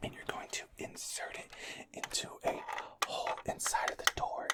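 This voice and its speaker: Amid noticeable background noise, a man is whispering. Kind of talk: ASMR video. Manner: whispered; fast, aggressive, repetitive.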